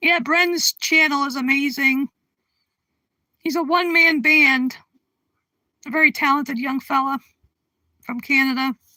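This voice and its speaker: With an American accent, a woman projects a raised voice in a high pitch and a bright, sharp tone, at a fairly slow pace. Long, frequent pauses break up her speech, and the sound is dry and close with no echo. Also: fairly even intonation. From Connecticut, US. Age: 60s. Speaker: livestream host. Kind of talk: casual chat. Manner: halting.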